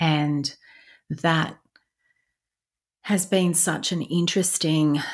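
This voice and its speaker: A woman's very deep, low voice on a very clean recording with a silent background. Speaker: spiritual podcast host, light language practitioner. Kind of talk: podcast monologue. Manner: pausing, stumbling over words at times.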